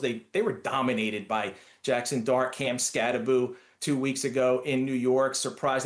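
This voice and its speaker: A man speaks with a fairly high pitch. He has a strong Philadelphia accent. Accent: Philadelphia accent, still strong. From Philadelphia, US. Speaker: sports writer. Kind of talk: sports predictions chat.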